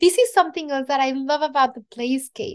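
A woman speaks in a Mexican accent with ordinary pitch variation. The background is quiet. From Mexico City, Mexico. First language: Spanish. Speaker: chef and TV cooking show host. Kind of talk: interview conversation.

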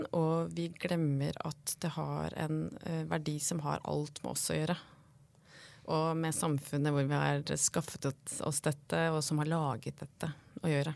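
Speaking at a fairly slow pace, a woman with a very deep, low pitch keeps a flat, monotone delivery on a very clean recording with a silent background. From Norway, Hedmark (near Lillehammer). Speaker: art and fashion historian. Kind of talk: casual interview chat. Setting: podcast studio.

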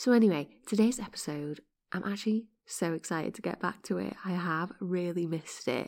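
A woman speaks at a moderate pace with vocal fry and a fairly low pitch. Her tone is slightly mellow, on a very clean recording with a silent background.

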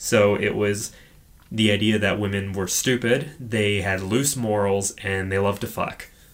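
A man speaks with an ordinary speaking voice at fairly low pitch. His pace is fairly slow and his intonation fairly even. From Edmonton, Alberta, Canada. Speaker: podcast host. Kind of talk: casual chat, podcast discussion of horror films.

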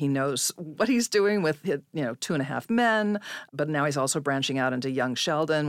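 A woman with an American accent and a very deep, low pitch speaks at a fairly quick pace with lively intonation on a very clean recording with a silent background. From California. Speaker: actor and acting coach. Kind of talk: casual chat.

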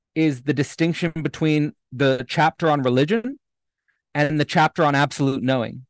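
With a Canadian accent, a man of fairly high pitch speaks at a moderate pace with ordinary pitch variation, his sound dry and close with no echo against a quiet background. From Canada, Hamilton, Ontario. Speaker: philosopher. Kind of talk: casual interview conversation. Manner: halting, many repeated words.

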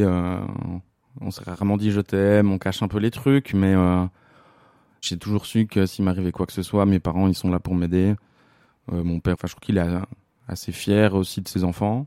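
A man with a fairly low pitch and a dark, mellow tone speaks at a moderate pace with fairly even intonation and long, frequent pauses, in dry, close sound with no echo and a very clean recording with a silent background. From Switzerland, La Chaux-de-Fonds (Neuchâtel). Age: 30s. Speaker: stage technician. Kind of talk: personal testimony interview. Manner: hesitant, many fillers and repetitions.

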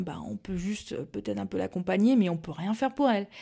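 This woman's voice has a dark, mellow tone. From Alsace, France (Mulhouse). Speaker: pastry entrepreneur, former neuroscientist. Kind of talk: casual interview chat. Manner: hesitant, many fillers and repetitions.

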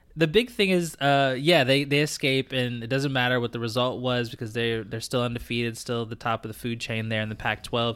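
The recording is very clean, with a silent background. A man with a normal speaking voice talks at medium pitch, fairly quick pace and fairly even intonation. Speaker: sports podcast co-host. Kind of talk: casual chat.

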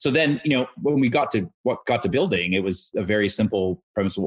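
With a Canadian accent, a man talks at a fairly quick pace in an ordinary speaking voice, his intonation lively. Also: dry, close sound with no echo. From Canada, Toronto. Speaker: fintech founder. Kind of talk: interview.

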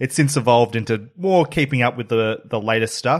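Fairly quick and medium-pitched, a man talks with an Australian accent. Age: 30s. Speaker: podcast host. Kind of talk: casual chat.

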